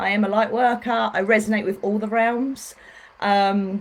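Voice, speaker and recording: A woman with a fairly high pitch speaks with a British accent. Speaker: spiritual healer. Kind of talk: facebook live talk. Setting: livestream. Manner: fast.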